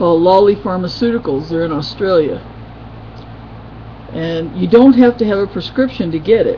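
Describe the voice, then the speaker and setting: In an American accent, the speaker moves at a moderate pace with lively intonation, long, frequent pauses and big swings in loudness over noticeable background noise. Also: woman, fairly low pitch for a woman. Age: 50s. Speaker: video blogger. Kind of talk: casual webcam vlog.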